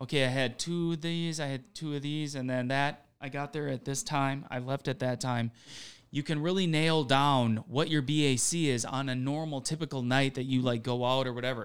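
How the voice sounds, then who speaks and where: A man talks at a moderate pace in an unremarkable speaking voice, fairly high in pitch. His intonation stays fairly even, and the recording is very clean with a silent background. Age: 40s. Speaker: DJ. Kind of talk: casual chat.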